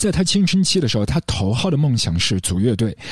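On a very clean recording with a silent background, a man speaks at a moderate pace in a somewhat breathy voice. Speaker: podcast host discussing film music. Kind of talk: scripted solo narration. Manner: reflective, measured delivery.

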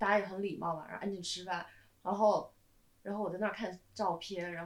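A woman talks at a very fast pace. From southern China. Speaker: screenwriter. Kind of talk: casual chat.

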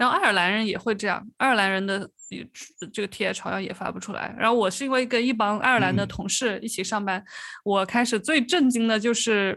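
A woman with a slight Changsha accent talks at a fairly quick pace. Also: fairly high pitch for a woman, ordinary pitch variation. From Changsha, Hunan. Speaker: podcast host. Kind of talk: casual chat.

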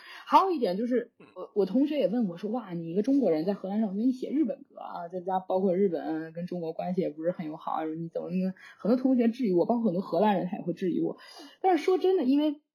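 Lively in intonation, a woman speaks at a very fast pace. Her pitch is medium. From China. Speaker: jazz flute student. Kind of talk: casual chat.

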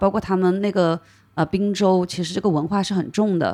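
A plain, everyday voice at a moderate pace, with ordinary pitch variation, in a very clean recording over a silent background. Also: woman. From China, Hunan. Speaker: craft brewery co-owner. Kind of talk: casual chat.

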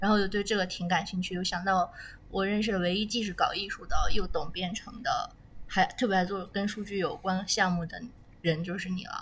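With audible room echo and noticeable background noise around her, this woman keeps a fairly even intonation. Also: medium pitch for a woman, fairly quick pace. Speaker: podcast host. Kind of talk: casual chat. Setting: recording in a warehouse basement.

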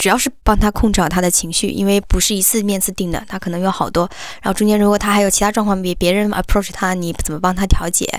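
Over a silent background in a very clean recording, a woman talks at a very fast pace in a monotone, flat intonation with hardly any pauses. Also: medium pitch for a woman. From Hunan, Hengyang. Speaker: headhunter. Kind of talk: interview. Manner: halting.

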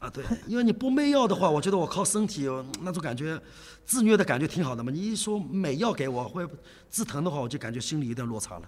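A man rattles along very fast in a high voice, his pitch swinging very widely. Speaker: karate coach. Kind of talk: interview. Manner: halting.

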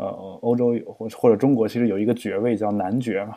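Speaking at a fairly quick pace, a man has an unremarkable speaking voice at medium pitch. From China, small town. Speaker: podcast host, poet and translator. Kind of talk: casual chat.

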